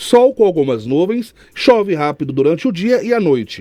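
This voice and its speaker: The voice moves at a fairly slow pace. Its pitch swings are very wide. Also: man. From Brazil, Piauí. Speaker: radio news presenter. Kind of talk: weather report.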